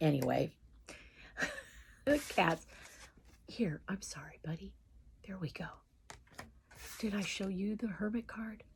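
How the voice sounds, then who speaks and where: At a fairly slow pace, a woman speaks in a medium-pitched voice with vocal fry and lively intonation. Her loudness swings widely, and she takes long, frequent pauses. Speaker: tarot card reader. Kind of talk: live tarot reading. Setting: livestream video. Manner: casual, chatty.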